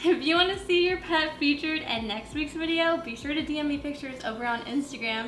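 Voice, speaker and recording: A loud woman with a high pitch, animated tone and lively intonation at a moderate pace, with audible room echo and music in the background. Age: 20s. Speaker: lifestyle vlogger. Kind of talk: casual vlog talk to camera. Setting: at home, window open.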